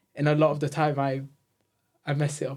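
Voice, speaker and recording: A man talks in a somewhat breathy voice. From Eritrea, then Leeds from age 10. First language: Tigrinya. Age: 20s. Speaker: software engineer. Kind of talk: casual interview chat. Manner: halting, pauses to form sentences.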